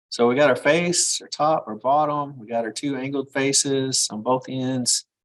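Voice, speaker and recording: A man with a plain, everyday voice and fairly high pitch keeps a fairly even intonation but shows big swings in loudness against a quiet background. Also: moderate pace. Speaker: engineering drafting instructor. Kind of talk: live class tutorial. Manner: casual, conversational.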